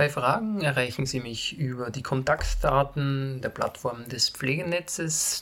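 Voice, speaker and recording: At a fairly slow pace, a man with a Styrian accent talks in a medium pitch. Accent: Austrian German, Styrian. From Austria, Graz (Styria). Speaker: nurse and pain management lecturer. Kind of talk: lecture. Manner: formal.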